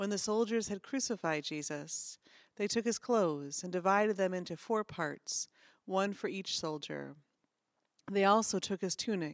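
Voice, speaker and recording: In a very clean recording with a silent background and a dry, close sound with no echo, a woman with an ordinary speaking voice talks at medium pitch with ordinary pitch variation. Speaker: pastor. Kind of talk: scripture reading. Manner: formal; slow, solemn.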